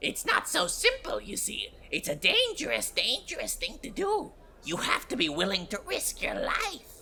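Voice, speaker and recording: Someone delivers a put-on character voice at a moderate pace over clear background noise. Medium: actual play. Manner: shifty, defensive, easily worked up.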